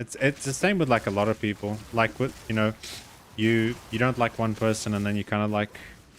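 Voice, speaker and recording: A man with a South African accent talks at a fairly quick pace, his medium pitch held in fairly even intonation. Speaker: video game streamer. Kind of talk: casual live-stream chat while gaming.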